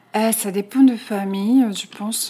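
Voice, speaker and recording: A woman's dark, mellow tone with a Japanese accent, at a fairly slow pace with ordinary pitch variation. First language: Japanese (speaking French). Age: 40s. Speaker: Japanese expatriate. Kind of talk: interview. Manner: halting.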